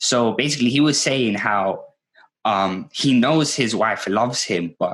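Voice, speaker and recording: Medium pitch for a man, moderate pace and ordinary pitch variation. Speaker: podcast host. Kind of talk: casual chat. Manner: loud.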